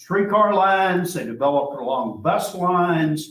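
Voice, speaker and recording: Speaking with an Arkansas accent, a man talks at a fairly slow pace. His pitch is fairly high and his intonation lively. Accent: US Southern (Arkansas). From Arkansas (Hot Springs). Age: 70s. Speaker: archivist and local historian. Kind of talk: public history talk with audience Q&A. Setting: library room with live audience. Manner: conversational, with frequent fillers.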